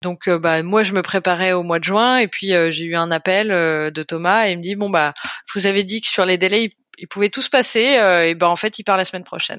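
Fairly quick and at a medium pitch, a woman speaks in an unremarkable speaking voice with ordinary pitch variation, recorded very cleanly against a silent background with a dry, close sound and no echo. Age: 30s. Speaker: volunteer puppy raiser for guide dogs. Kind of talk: casual interview.

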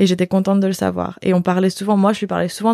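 Everything is delivered at a very fast pace. The background is silent in a very clean recording. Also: woman. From Belgium. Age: 20s. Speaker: yoga retreat organizer. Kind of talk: casual interview conversation.

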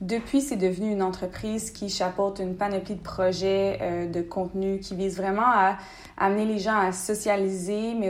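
At a moderate pace, a woman with an unremarkable speaking voice talks at a medium pitch with fairly even intonation. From Quebec, Bas-Saint-Laurent (Rimouski). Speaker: entrepreneur. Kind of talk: interview.

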